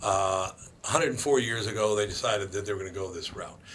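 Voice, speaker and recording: Against noticeable background noise and audible room echo, a man with an Upper Midwest accent talks at a fairly low pitch with ordinary pitch variation. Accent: Upper Midwest American. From Minneapolis, Minnesota. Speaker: radio host. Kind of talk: casual talk radio chat.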